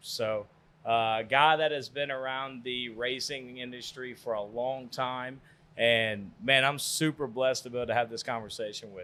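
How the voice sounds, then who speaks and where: Speaking at a moderate pace with fairly even intonation, a man with a medium pitch has a bright, sharp tone on a very clean recording with a silent background. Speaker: podcast host. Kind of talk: interview questions.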